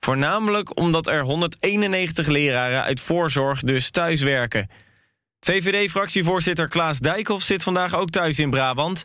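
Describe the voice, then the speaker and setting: On a very clean recording with a silent background, a man speaks very slowly in a fairly high, bright and sharp voice with ordinary pitch variation. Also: very even loudness. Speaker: news podcast host. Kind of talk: scripted news reading. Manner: formal, concise.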